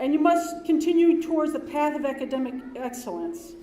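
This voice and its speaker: In a room with audible echo, a woman speaks loudly at a moderate pace. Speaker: dean of students. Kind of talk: ceremony speech. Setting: ceremony hall with audience.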